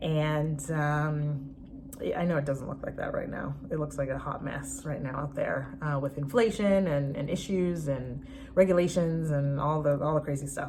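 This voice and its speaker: Over noticeable background noise and audible room echo, a woman talks with fairly even intonation. Her pitch is very deep and low. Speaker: spiritual fertility coach. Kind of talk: online course introduction. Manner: fast; halting, many fillers.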